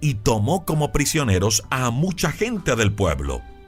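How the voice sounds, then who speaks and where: Over music in the background, a man talks at a fairly slow pace with very wide pitch swings. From Colombia. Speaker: commercial announcer. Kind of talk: devotional sermon.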